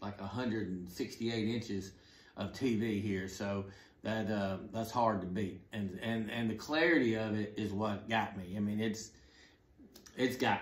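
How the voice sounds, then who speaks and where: In an American accent, the voice moves at a fairly slow pace with fairly even intonation, and room echo is audible. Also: man. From US South, Atlanta; US South. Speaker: golf simulator YouTuber. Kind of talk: product review. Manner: casual, halting with fillers. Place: home room.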